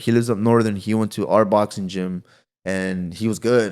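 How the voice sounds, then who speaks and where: Fairly low-pitched man with fairly even intonation, very clean recording and silent background. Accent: American. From Santa Ana, California. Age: 20s. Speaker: professional boxer. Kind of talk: casual podcast interview.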